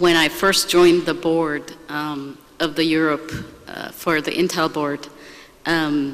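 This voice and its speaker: The voice stays monotone and flat over noticeable background noise. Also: woman. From Turkey. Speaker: business executive. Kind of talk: panel discussion.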